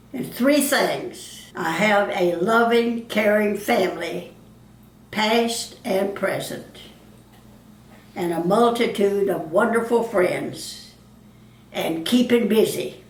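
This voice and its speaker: A woman speaks at a very slow pace with long, frequent pauses, her pitch fairly high with ordinary variation. Noticeable background noise is present. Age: 80s+. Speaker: retired cosmetics saleswoman. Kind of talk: interview answer.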